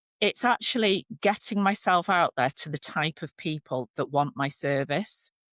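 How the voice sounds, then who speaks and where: Speaking with a northern English accent, a woman uses a fairly low pitch and lively intonation with hardly any pauses, in a dry, close sound with no echo. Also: moderate pace. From northern England. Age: 50s. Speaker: relationship and divorce coach. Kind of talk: podcast interview. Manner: animated.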